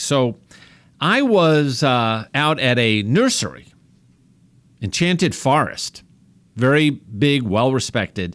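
A man with a New York accent talks at a fairly slow pace in a medium pitch, his voice swinging very widely up and down. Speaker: doctor and radio host. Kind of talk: radio health talk show. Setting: radio studio broadcast.

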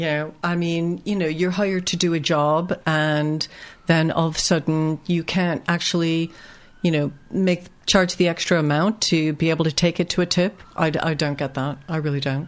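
Against a quiet background, a woman with a fairly low pitch speaks at a moderate pace in a monotone, flat intonation. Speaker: magazine editor and owner. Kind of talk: radio interview. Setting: studio.

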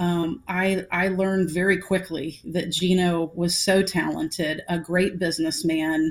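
Very slow delivery with an American accent. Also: woman. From US South, Atlanta. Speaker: women's basketball association executive. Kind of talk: interview. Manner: halting, many repetitions.

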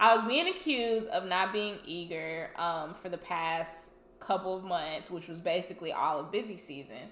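A woman uses a normal speaking voice at a fairly low pitch and a moderate pace, with ordinary pitch variation, big swings in loudness and hardly any pauses. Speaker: podcast co-host. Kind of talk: casual chat.

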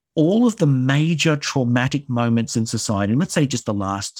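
Against a very clean, silent background with a dry, close sound and no echo, a man with an Australian accent speaks fairly slowly at a medium pitch with lively intonation. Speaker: theatre director and writer. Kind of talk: interview conversation.

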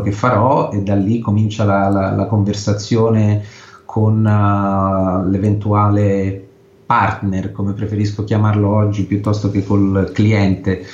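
A man's fairly low, somewhat breathy, flat monotone voice at a fairly slow pace, very even in loudness, with audible room echo. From Italy. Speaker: photojournalist. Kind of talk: interview. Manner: halting.

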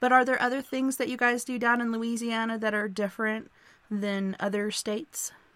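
Recorded very cleanly with a silent background, a woman speaks at a moderate pace in a fairly high pitch, her intonation monotone and flat. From Arkansas. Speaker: radio show host. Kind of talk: casual radio chat. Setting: live internet radio show.

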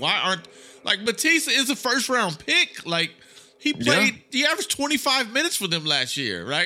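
A man with a raised, projected voice speaks at a moderate pace, his bright, sharp, animated tone making very wide pitch swings. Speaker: sports journalist, debate guest. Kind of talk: casual sports debate. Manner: animated, jokey.

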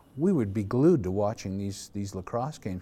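Very clean and set against a silent background, the recording features a man with a Canadian accent speaking at a very fast pace. His voice is fairly low in pitch, with a dark, mellow tone. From Calgary, Alberta, Canada. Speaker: retired lacrosse player and organizer. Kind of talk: oral history interview.

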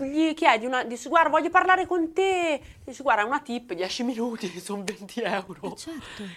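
A woman with a high voice talks at a moderate pace, her pitch swinging very widely and her loudness shifting a lot. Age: 40s. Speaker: tattooed social media creator. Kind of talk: casual chat.

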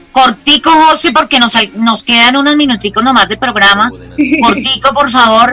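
A woman speaks with a high pitch. Background noise is noticeable. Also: ordinary pitch variation, moderate pace. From Colombia, Bogotá. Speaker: radio host. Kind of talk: casual radio magazine chat. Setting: video call.

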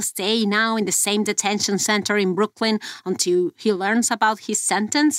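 In a very clean recording with a silent background, a woman with a Mexican accent speaks at a moderate pace in a fairly high pitch. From Mexico. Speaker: investigative journalist. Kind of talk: investigative podcast conversation.

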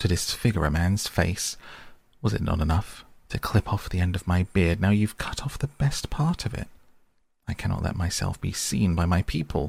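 The voice is somewhat breathy, with lively intonation and a moderate pace. The recording is very clean, with a silent background. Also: man, very deep, low pitch for a man. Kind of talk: fairy-tale narration, bedtime story reading aloud.

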